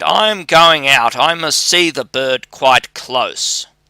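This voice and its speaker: A man uses a put-on character voice, pitched fairly high and delivered at a fairly slow pace. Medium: read story. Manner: warm, cheerful.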